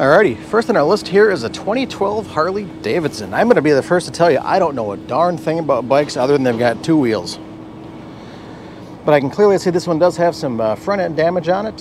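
Noticeable background noise runs under a man speaking at a fairly quick pace, with a dry sound and no echo. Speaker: car channel host. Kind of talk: casual vlog commentary. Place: street. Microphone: phone near.

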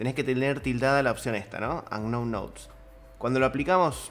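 The speaker is a man. He keeps a fairly quick pace. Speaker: 3D animation teacher. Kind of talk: tutorial feedback commentary. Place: home room. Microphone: studio mic.

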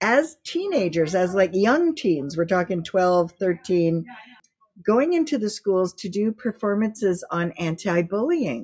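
Somewhat breathy and lively in intonation, a woman speaks at a fairly slow pace against a quiet background. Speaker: guest. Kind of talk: interview answer. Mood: warm, smiling, enthusiastic.

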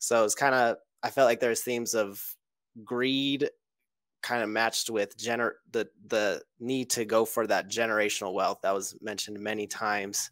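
The sound is dry, with no echo, and the background is quiet. The intonation stays flat and monotone. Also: man, moderate pace. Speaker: forum member guest. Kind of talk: casual chat. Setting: video call. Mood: relaxed, thoughtful. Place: home room. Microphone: headset.

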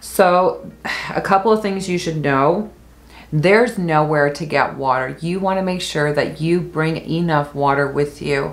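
A woman speaks with a very deep, low pitch and ordinary pitch variation. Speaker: travel vlogger. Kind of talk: travel tips talk to camera. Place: home room.

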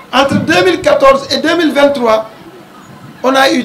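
Over crowd noise in the background, a man speaks with an extremely high pitch. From Senegal. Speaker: mayor. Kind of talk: public speech. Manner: formal. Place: street. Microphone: handheld.

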